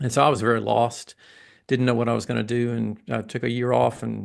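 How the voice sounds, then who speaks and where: A man speaks with a slight Southern US accent. His pace is fairly quick. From US South, Atlanta, Georgia. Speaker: massage therapist and educator. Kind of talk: interview.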